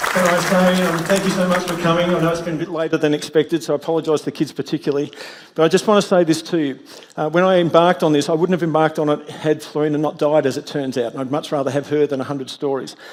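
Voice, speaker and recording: Talking at a very fast pace, a man with an Australian accent keeps his fairly high pitch in fairly even intonation. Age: 60s. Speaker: storyteller. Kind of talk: closing speech to audience. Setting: theatre stage with audience.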